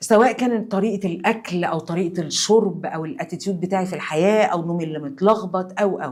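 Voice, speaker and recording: With an Egyptian accent, a woman speaks in a calm tone at a fairly quick pace and medium pitch, with ordinary pitch variation and hardly any pauses. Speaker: cancer survivor. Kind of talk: testimony.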